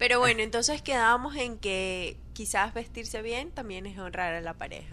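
In a fairly high, bright, sharp voice with vocal fry, a woman speaks with lively intonation. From Venezuela. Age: 20s. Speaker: podcast guest, guest's wife. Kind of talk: casual chat.

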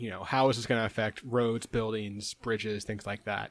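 On a very clean recording with a silent background and a dry, close sound with no echo, a man uses an ordinary speaking voice at a medium pitch. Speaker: podcast co-host. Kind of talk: casual comedic chat.

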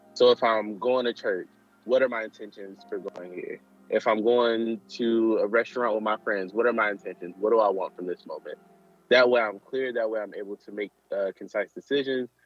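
Music plays behind a man with an American accent who talks at a fairly quick pace in a medium pitch. His intonation stays fairly even while his loudness swings widely. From Michigan. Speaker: activist. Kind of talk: interview. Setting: outdoors in a park.

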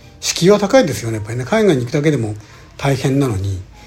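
Amid noticeable background noise, a man speaks at a fairly quick pace in a fairly high pitch with very wide pitch swings. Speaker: podcast host, real estate investor. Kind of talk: solo podcast monologue. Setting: alone in a room abroad. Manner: halting, many fillers.

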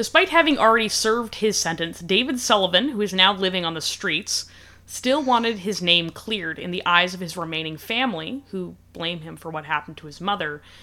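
At a moderate pace, a woman with an unremarkable speaking voice talks in a medium pitch with lively intonation. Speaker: podcast host. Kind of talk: casual podcast chat, true crime storytelling.

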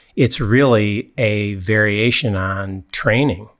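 With an Upper Midwest accent, a man speaks at a fairly low pitch with ordinary pitch variation. The recording is very clean, with a silent background. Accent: Upper Midwest American. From US Midwest (mid-Michigan, East Lansing). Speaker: personal trainer. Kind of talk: casual chat. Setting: studio.

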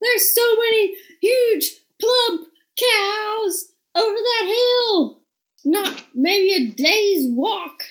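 Shouting in a put-on character voice, a woman speaks at a very slow pace with an extremely high pitch and lively intonation. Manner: excitedly shouting, dumb and over the top.

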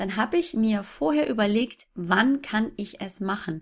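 A somewhat breathy woman's voice, fairly high in pitch with lively intonation, comes through on a very clean recording against a silent background. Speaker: fitness blogger and mother. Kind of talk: interview.

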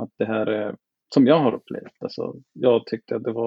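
A man is speaking. He has a non-native accent. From southern India. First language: not Swedish (speaking Swedish). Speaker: podcast guest. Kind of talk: casual chat.

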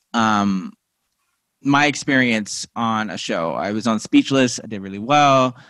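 In an American accent, a man with a medium pitch speaks at a fairly slow pace, using an ordinary speaking voice with ordinary pitch variation and big swings in loudness. The recording is very clean with a silent background. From Missouri, US Midwest. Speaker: TV writer and playwright. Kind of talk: interview. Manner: casual, filler-heavy.

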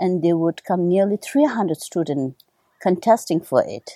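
A woman with a Tibetan accent speaks at a fairly slow pace, her tone dark and mellow, with lively intonation. The recording is very clean, with a silent background. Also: dry, close sound with no echo. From Tibetan exile community in India, born in Nepal. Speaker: Tibetan medicine doctor and translator. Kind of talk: interview.

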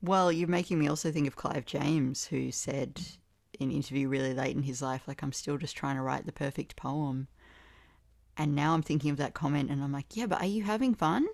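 A woman with an Australian accent speaks at a fairly quick pace in a very deep, low pitch, with ordinary pitch variation, on a very clean recording with a silent background. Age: 30s. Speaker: poet. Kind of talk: casual conversation. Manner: animated.

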